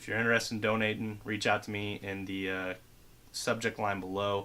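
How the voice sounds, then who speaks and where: In a bright, sharp tone, a man speaks at a fairly low pitch with monotone, flat intonation. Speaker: tech product reviewer. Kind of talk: product review. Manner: fast; casual.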